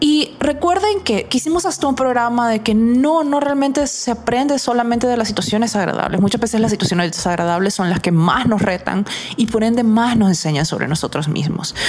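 A woman talks at a fairly quick pace with very wide pitch swings and very even loudness. Noticeable background noise is present. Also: fairly high pitch for a woman, hardly any pauses. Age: 40s. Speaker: psychologist and radio host. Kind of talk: radio talk show monologue.

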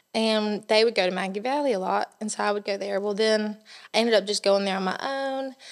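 A woman with a Southern US accent speaks at a moderate pace in a fairly high pitch. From US South, South Carolina (near Columbia). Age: young. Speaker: bridal shop owner. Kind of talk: casual interview.

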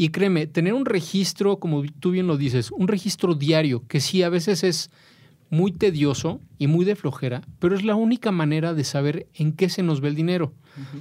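A man with a Mexican accent, high in pitch, with ordinary pitch variation at a moderate pace. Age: 40s. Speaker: personal finance expert. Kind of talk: interview.

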